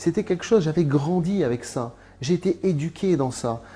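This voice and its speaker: With lively intonation and a dark, mellow tone, a somewhat breathy man talks at a moderate pace. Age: 30s. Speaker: convert giving testimony. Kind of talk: testimony. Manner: halting, many hesitations.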